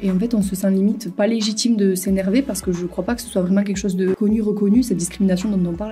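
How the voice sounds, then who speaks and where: A woman with a southern French accent talks at a very fast pace with hardly any pauses and fairly even intonation. Her pitch is medium, and music plays in the background. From Toulouse, southern France. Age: 20s. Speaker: student. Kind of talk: interview answer.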